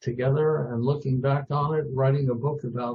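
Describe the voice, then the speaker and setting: A man at medium pitch, somewhat breathy, with fairly even intonation and a moderate pace. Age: 80s+. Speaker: music producer. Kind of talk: interview.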